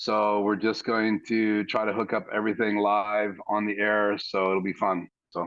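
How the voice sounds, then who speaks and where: A man talks at a fairly slow pace in a fairly low pitch. His intonation is monotone and flat, and his loudness stays very even. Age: 60s. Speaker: live stream guest, church audio hobbyist. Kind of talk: casual chat.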